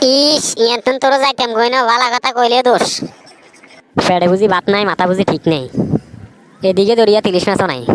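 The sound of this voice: This is a cartoonish character voice. Its pitch sits fairly high. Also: moderate pace.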